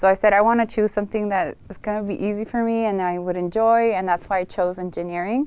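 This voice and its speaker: Someone with a Spanish accent talks at a very fast pace against a quiet background. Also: woman, medium pitch for a woman, fairly even intonation. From Los Angeles, US, partly raised in Tijuana, Mexico. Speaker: realtor and former aerospace engineer. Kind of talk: interview.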